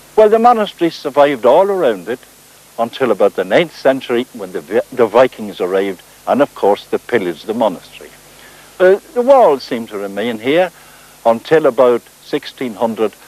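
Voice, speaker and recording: Speaking at a moderate pace with a Northern Irish accent, a man at medium pitch swings very widely in pitch, and the sound is dry and close with no echo. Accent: South Armagh Irish. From South Armagh, Northern Ireland. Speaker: folklorist and writer. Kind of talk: documentary presenting on location.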